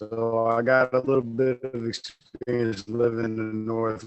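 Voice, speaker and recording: A man with an American accent, an ordinary speaking voice, medium pitch and a fairly slow pace. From upstate New York. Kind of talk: casual chat. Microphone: bad connection, audio slowed down.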